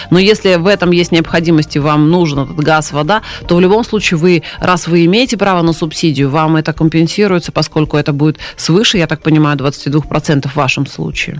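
A woman's very deep, low voice at a fairly quick pace, with noticeable background noise. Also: ordinary pitch variation, very even loudness. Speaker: government official, deputy minister of social protection. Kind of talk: live radio interview answering listener questions. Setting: radio studio, live broadcast. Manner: formal, explanatory.

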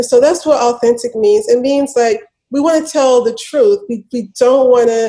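A woman speaks in an American accent with a high pitch. Her tone is dark and mellow, with ordinary pitch variation. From US South, Memphis, Tennessee. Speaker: media entrepreneur and filmmaker. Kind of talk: interview.

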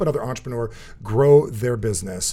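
A man with an American accent talks at a very fast pace. Music plays in the background. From New Jersey. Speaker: podcast host. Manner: fast talker.

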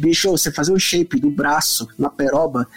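A man's fairly high-pitched voice with lively intonation, over noticeable background noise. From São Paulo, Brazil. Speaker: guitarist. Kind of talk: casual chat.

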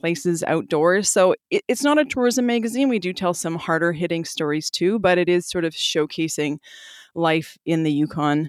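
A woman with a plain, everyday voice and a Canadian accent, fairly low in pitch, at a moderate pace with lively intonation, dry and close with no echo, in a very clean recording with a silent background. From Calgary, Alberta, Canada. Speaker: magazine editor and podcast producer. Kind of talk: interview.

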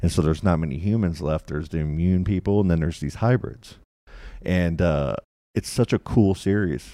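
A man's very deep, low voice, dark and mellow in tone, with ordinary pitch variation on a very clean recording with a silent background. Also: fairly quick pace. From Kentucky, Louisville. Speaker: podcaster. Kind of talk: casual chat.

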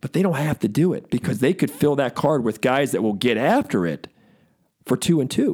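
A man with an American accent speaks in a plain, everyday voice, fairly high in pitch. His intonation is lively and his pace moderate. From Baltimore, US East Coast. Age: 40s. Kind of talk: casual interview conversation.

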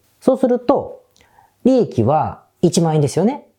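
A man's dark, mellow voice with vocal fry, at a fairly slow pace. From Japan, Osaka. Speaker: business consultant, podcast host. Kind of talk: solo podcast monologue. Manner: casual, conversational.

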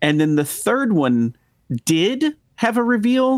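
Recorded dry and close with no echo, a man with an American accent speaks at a fairly slow pace, his pitch swinging very widely. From Texas. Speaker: podcast host. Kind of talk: casual chat.

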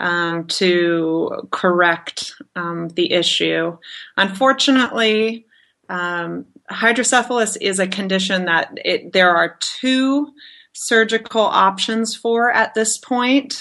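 A woman speaks at a very slow pace in a bright, sharp tone. Her intonation is lively. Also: fairly high pitch for a woman, quiet background. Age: 30s. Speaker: construction project manager with hydrocephalus. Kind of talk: interview.

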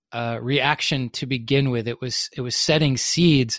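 An unremarkable speaking voice from a man with an American accent, fairly high pitch, moderate pace and ordinary pitch variation, in a very clean recording with a silent background and a dry, close sound with no echo. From US South. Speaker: business consultant. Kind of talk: interview conversation.

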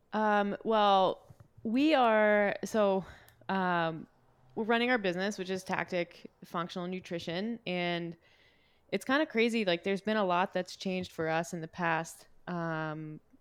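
Speaking very slowly with long, frequent pauses, a woman with a slight Canadian accent uses a medium pitch and ordinary pitch variation, on a very clean recording with a silent background. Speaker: fitness and nutrition coach. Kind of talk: casual chat.

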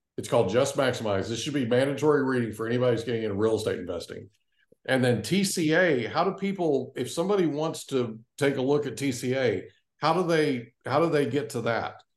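In an ordinary speaking voice, the speaker moves at a fairly quick pace with lively intonation. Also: man, medium pitch for a man. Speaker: podcast host and real estate professional. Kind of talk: casual interview.

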